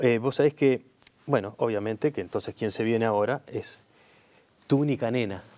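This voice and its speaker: A man speaks in a Rioplatense accent at a medium pitch. His pitch variation is ordinary and his pace moderate. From Uruguay. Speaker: TV interviewer. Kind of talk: interview. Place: studio. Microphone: lapel.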